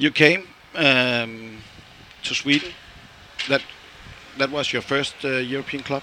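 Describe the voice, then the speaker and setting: Speaking with a Danish accent at a fairly slow pace, a man with a fairly high pitch keeps his intonation fairly even, leaves long, frequent pauses, and has noticeable background noise behind him. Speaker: fan radio interviewer. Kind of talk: interview; podcast intro. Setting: on location in Istanbul.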